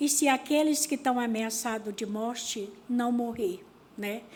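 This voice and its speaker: A woman speaks at a fairly slow pace. Her pitch is fairly high, in a plain, everyday voice. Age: 50s. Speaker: rural workers' union leader. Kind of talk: panel talk at seminar.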